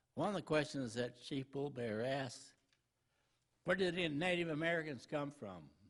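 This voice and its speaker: Using a normal speaking voice, a man talks at a moderate pace, fairly high-pitched, with ordinary pitch variation. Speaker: preacher. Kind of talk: sermon. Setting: church.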